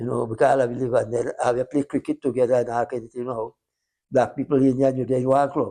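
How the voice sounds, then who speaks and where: A man talks at a very fast pace in a dark, mellow tone with monotone, flat intonation. The background is quiet. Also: medium pitch for a man, dry, close sound with no echo. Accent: Guyanese. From Guyana, West Coast Demerara. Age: 90s. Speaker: retired sugar worker. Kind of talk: interview. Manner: halting.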